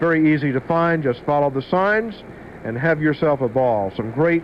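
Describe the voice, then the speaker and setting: A man talks at a moderate pace with ordinary pitch variation. Noticeable background noise runs through the clip. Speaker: radio DJ. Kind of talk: radio DJ banter between songs. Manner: casual, chatty.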